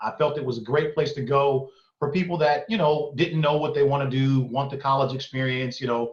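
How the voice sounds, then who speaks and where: A man speaks at a fairly quick pace in a fairly high, somewhat breathy voice. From East Oakland, California. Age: 40s. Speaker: entrepreneur. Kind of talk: interview conversation.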